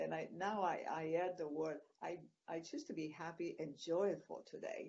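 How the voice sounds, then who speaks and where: A woman speaks with a Greek accent. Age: 60s. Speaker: retreat producer. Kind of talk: interview. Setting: video call. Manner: halting.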